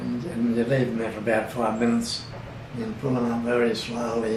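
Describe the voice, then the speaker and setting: A man talks fairly quickly at a medium pitch while noticeable background noise continues. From Bundaberg, Queensland, Australia. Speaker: oral history interviewee. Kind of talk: interview answer.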